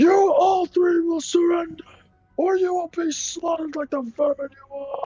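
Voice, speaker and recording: Loud and at an extremely high pitch, a man does a put-on character voice at a moderate pace while faint music plays in the background. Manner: intimidating, menacing.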